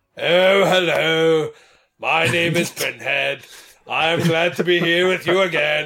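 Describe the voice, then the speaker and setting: Putting on a character voice, a man speaks fairly slowly at a high pitch. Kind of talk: formal, polite. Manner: bored, weary.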